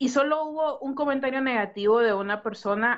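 Using a normal speaking voice, a woman shows ordinary pitch variation at a moderate pace. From Honduras. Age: 30s. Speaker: podcast co-host. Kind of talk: casual chat.

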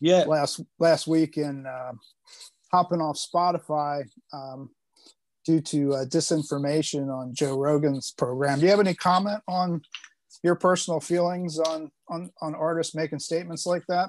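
A man with an ordinary speaking voice, fairly high in pitch, in a dry, close sound with no echo and a quiet background. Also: fairly even intonation, moderate pace. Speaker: podcast co-host. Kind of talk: casual interview chat.

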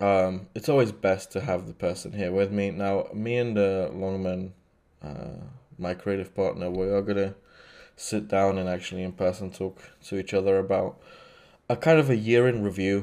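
A man speaks at a fairly low pitch with a dark, mellow tone and ordinary pitch variation. The recording is very clean, with a silent background. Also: moderate pace. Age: 20s. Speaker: podcast host, filmmaker. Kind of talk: solo monologue. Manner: halting, many fillers.

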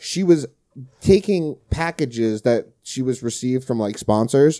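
Lively intonation carries a man's dark, mellow tone in a New Jersey accent. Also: very clean recording, silent background. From New Jersey, Brick Township. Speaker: podcast host, HVAC technician. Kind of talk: casual chat.

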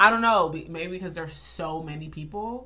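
The tone is animated in a very clean recording with a silent background. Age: 20s. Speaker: podcast co-host. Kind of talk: casual chat.

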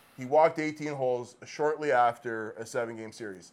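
A man talks at a fairly quick pace with fairly even intonation. He has a normal speaking voice. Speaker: podcast co-host. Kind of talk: casual chat, joking banter.

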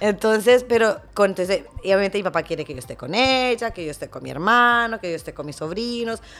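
A woman's fairly high, animated voice at a fairly quick pace, with big swings in loudness. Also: very clean recording, silent background. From Honduras. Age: 30s. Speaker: teacher. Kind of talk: casual chat.

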